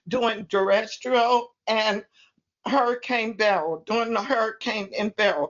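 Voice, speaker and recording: Here is a woman with a fairly high pitch. Her pitch varies in an ordinary way. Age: 80s+. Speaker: community volunteer. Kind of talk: public comment at virtual meeting. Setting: video call.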